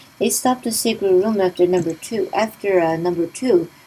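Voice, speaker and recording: Through noticeable background noise, a woman talks at a fairly quick pace and medium pitch with ordinary pitch variation. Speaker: gaming let's play commentator. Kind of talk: game walkthrough commentary and review. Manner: casual, conversational.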